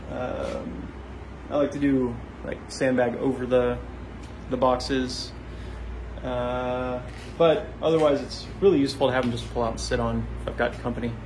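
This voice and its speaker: Through noticeable background noise, a man speaks at a moderate pace with long, frequent pauses. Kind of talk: casual vlog chat. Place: garage. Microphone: phone near.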